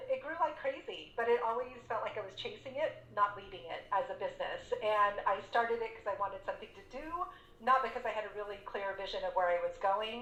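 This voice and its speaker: Amid noticeable background noise, a woman with an American accent talks at a fairly quick pace, her loudness swinging widely. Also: fairly high pitch for a woman, ordinary pitch variation. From Texas, San Antonio. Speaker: business coach and entrepreneur. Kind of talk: interview.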